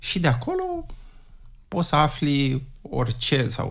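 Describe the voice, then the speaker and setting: A man is talking. His voice is somewhat breathy. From Romania, Prahova county. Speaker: wine atlas creator, carpenter, former tour guide. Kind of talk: interview.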